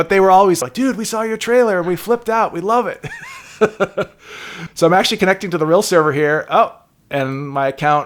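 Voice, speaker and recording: At a fairly quick pace but with long, frequent pauses, a man speaks in a high pitch with lively intonation. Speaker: game developer. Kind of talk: casual interview chat. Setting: podcast recording. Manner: chipper, goofy and laughy.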